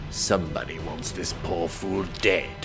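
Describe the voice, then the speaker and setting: Over loud background noise, a man does a put-on character voice at a moderate pace. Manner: evil, menacing.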